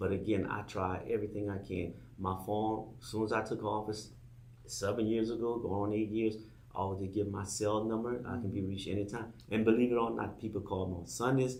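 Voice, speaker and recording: A man with a Louisiana accent talks at a fairly quick pace and a fairly low pitch. His voice is somewhat breathy, with audible room echo around it. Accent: Louisiana Southern US. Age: 60s. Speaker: political candidate. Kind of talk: campaign pitch on talk show. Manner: halting, repetitive.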